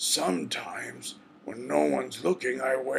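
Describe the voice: Plain reading, out loud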